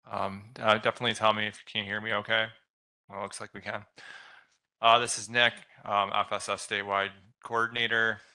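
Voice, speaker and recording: This man talks at a fairly quick pace in a flat monotone, his loudness swinging widely, with long, frequent pauses against a quiet background. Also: fairly low pitch for a man. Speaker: state program coordinator. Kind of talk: meeting presentation. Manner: halting.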